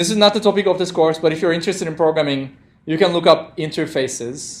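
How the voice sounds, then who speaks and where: A man with a non-native accent talking very fast, his high pitch moving with ordinary variation. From Turkey. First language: non-native English speaker. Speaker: programming instructor. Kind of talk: interactive lecture. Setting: classroom with live audience, streamed.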